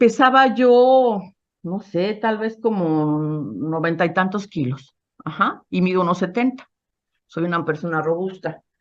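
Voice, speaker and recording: This woman speaks at a fairly slow pace with lively intonation. Her pitch is medium. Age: 60s. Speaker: psychotherapist sharing a past-life regression experience. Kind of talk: testimony. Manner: halting.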